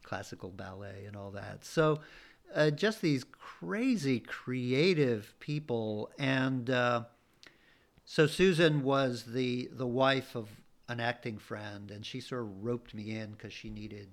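A man at a very slow pace, with big swings in loudness. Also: medium pitch for a man, ordinary pitch variation. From Bolivia. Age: 60s. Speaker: writer and performer. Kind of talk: casual interview.

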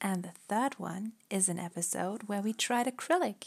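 The speech carries a slight German accent. Its intonation is lively. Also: woman. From Germany. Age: 20s. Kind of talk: casual chat.

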